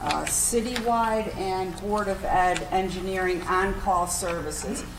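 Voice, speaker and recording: A woman talking at a fairly slow pace, with audible room echo and noticeable background noise. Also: medium pitch for a woman, fairly even intonation. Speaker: city development official. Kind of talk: meeting report. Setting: city council meeting. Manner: loud.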